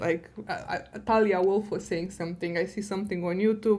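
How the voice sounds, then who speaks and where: With a non-native accent, the speaker talks at a very fast pace with ordinary pitch variation. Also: woman. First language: not English. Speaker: data science director and podcast guest. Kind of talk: podcast interview.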